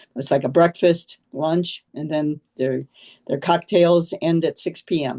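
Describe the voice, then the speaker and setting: A quiet woman speaks at a fairly slow pace with a dark, mellow tone, fairly low pitch and fairly even intonation, in a dry, close sound with no echo. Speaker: neighborhood association committee member. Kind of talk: meeting discussion. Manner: normally loud; too quiet.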